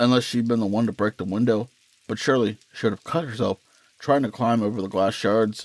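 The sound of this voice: Intonation stays fairly even in this unforced reading voice.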